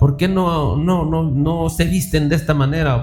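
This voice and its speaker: Over background music, a man talks at a moderate pace in a fairly high pitch. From Mexico, Durango. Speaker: preacher. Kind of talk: sermon. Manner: halting, many fillers and repetitions.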